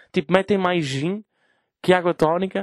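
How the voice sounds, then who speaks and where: In a northern Portuguese accent, a man speaks at a high pitch with ordinary pitch variation. The sound is dry and close with no echo. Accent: Gaia (northern Portugal). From Portugal, Gaia. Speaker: podcast host. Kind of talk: casual chat. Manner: animated.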